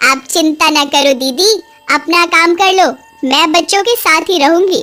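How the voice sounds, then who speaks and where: A woman's cartoonish character voice at an extremely high pitch, with faint music in the background. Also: moderate pace. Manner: rustic, outspoken.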